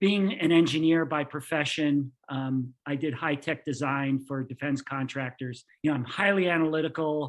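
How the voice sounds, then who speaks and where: A man with a plain, everyday voice and an American accent, fairly high in pitch, at a moderate pace with hardly any pauses and fairly even intonation. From New York, then Florida from age 14. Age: 60s. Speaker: engineer. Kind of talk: podcast interview.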